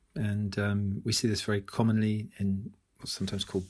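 With a British accent, a man speaks fairly low at a moderate pace. His intonation is monotone and flat, and the recording is very clean with a silent background. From UK. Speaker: author and business school academic. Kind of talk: podcast interview.

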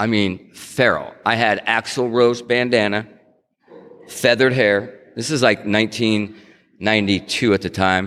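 Using an unremarkable speaking voice, a man with an American accent speaks at a medium pitch with fairly even intonation. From California (Stockton). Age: 60s. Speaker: recovering alcoholic sharing recovery story. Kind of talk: recovery talk to an audience. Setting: stage with audience. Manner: fast.

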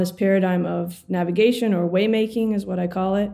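A woman speaks at a moderate pace and medium pitch, with fairly even intonation. It is an ordinary speaking voice. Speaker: neuroscientist and philosopher, PhD student. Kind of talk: casual interview conversation.

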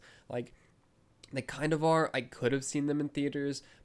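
Here a man is speaking. His pace is fairly quick. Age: 20s. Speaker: podcast host. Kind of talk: casual monologue. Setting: recorded on video. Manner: filler-heavy, hesitant.

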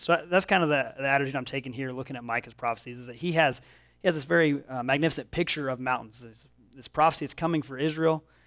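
Speaking very fast with an American accent, a man with a fairly high pitch and ordinary pitch variation comes through in a very clean recording with a silent background. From Oklahoma. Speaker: pastor. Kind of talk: sermon. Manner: casual, filler-heavy delivery.

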